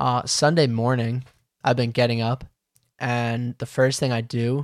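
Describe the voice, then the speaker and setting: A man talks with an American accent. His medium-pitched voice stays monotone and flat. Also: dry, close sound with no echo. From Long Island, New York. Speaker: BMX podcast host. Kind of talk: casual chat. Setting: remote call.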